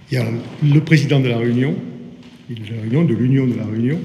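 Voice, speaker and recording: With a Marseille accent, a man talks at a fairly quick pace in a medium pitch with ordinary pitch variation, over noticeable background noise and audible room echo. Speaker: port business association president. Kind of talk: formal speech at signing ceremony. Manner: hesitant, with fillers and repetitions.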